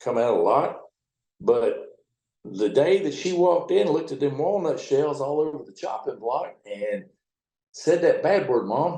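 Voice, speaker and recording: A man talks at a moderate pace. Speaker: river towboat captain. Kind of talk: interview answer. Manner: casual, profane storytelling.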